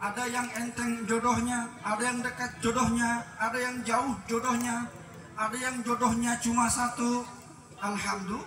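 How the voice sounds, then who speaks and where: A man with an extremely high pitch uses a raised, projected voice in a flat monotone at a fairly slow pace, with audible room echo and noticeable background noise. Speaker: preacher. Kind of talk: sermon. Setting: wedding reception.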